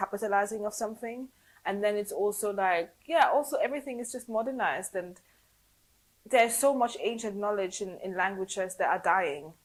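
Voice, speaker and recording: A woman talks at a fairly quick pace in a normal speaking voice, her pitch medium. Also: ordinary pitch variation. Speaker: podcast interviewer. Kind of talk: casual podcast conversation.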